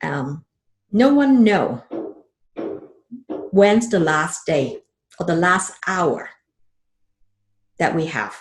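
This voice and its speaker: Somewhat breathy and fairly low in pitch, a woman talks very slowly with long, frequent pauses and very wide pitch swings. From Hong Kong. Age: 50s. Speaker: financial advisor. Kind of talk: podcast interview.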